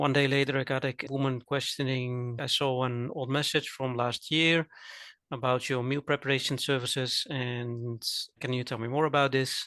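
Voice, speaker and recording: In a Dutch accent, a man talks at a moderate pace and medium pitch, his tone bright and sharp and his intonation monotone and flat. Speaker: cooking teacher and coach. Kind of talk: casual chat.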